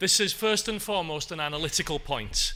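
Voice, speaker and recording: A man's bright, sharp voice with a strong North Welsh accent, at a moderate pace. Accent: Anglesey Welsh accent, strong. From Wales, Anglesey. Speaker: professor. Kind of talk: conference talk.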